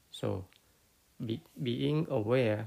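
A man is speaking. He has a Cambodian accent. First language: Khmer. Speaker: Buddhist teacher. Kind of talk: dharma talk. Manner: halting, many fillers.

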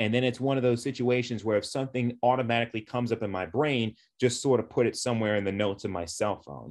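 A man with an ordinary speaking voice talks at a fairly quick pace, using a medium pitch and ordinary pitch variation. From Long Island, New York (Suffolk County). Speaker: sports writer. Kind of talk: casual interview.

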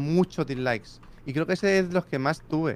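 Fairly high in pitch, a man talks at a fairly quick pace with ordinary pitch variation in a plain, everyday voice. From Spain, Barcelona. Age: 30s. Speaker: YouTuber. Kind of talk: casual chat.

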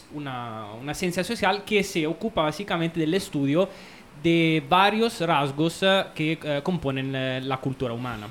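Speaking at a fairly slow pace, a man with an Italian accent uses lively intonation. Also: fairly high pitch for a man. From Italy. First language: Italian (speaking Spanish). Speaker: anthropologist. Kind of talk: casual chat. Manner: halting.

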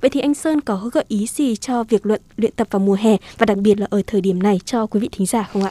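The voice has a dark, mellow tone and moves at a fairly quick pace. The sound is dry and close, with no echo. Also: woman. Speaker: radio host. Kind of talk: radio talk show. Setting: studio. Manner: formal.

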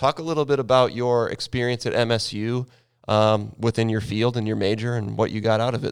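A man talks in a plain, everyday voice. His intonation stays fairly even. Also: medium pitch for a man. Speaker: teacher of a video production class. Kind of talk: casual interview. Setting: virtual class, video call.

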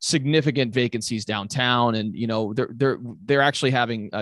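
Talking at a fairly quick pace, a man has a plain, everyday voice at medium pitch with fairly even intonation. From Europe (Italy, Germany, Belgium), moved to US at 14. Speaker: commercial real estate agent. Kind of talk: podcast interview.

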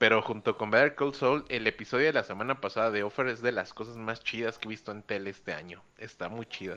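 With a bright, sharp tone, a man talks very fast with hardly any pauses and ordinary pitch variation. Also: medium pitch for a man. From Mexico City area. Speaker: podcast guest. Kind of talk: casual chat.

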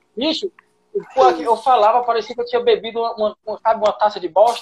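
A man at an extremely high pitch, very fast pace and ordinary pitch variation, in a dry, close sound with no echo. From Pernambuco, Brazil. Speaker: comedian. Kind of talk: casual chat. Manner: animated.

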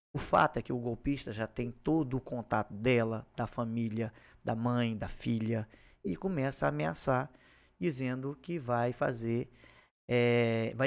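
A plain, everyday voice moves at a fairly slow pace with ordinary pitch variation over a quiet background. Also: man. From Acre, Brazil (Xapuri). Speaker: police chief, former public security secretary. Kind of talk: interview.

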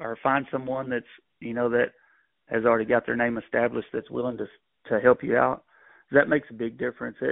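A man speaks with a Texan accent. His pitch is medium. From Texas. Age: 40s. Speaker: rodeo bullfighter. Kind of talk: interview.

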